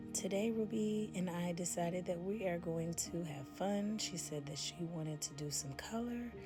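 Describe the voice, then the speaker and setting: Soft-spoken and at a moderate pace, the voice runs with hardly any pauses over music in the background. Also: woman, fairly low pitch for a woman, ordinary pitch variation. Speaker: ASMR makeup artist. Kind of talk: soft-spoken ASMR makeup tutorial.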